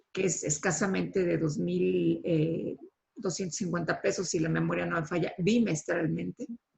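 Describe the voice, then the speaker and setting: A woman with a Mexican accent at a moderate pace, her loudness very even. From Mexico. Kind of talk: online panel discussion.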